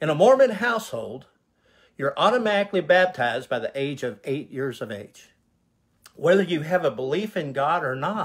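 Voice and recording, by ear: A man speaks at a moderate pace and a fairly high pitch. His voice swings widely in pitch and has a slightly husky edge.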